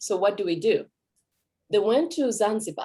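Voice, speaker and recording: This woman has a fairly high pitch, a dark, mellow tone and lively intonation, and she talks at a moderate pace. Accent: Kenyan. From Kenya. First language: Kikuyu. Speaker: language teacher. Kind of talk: presentation.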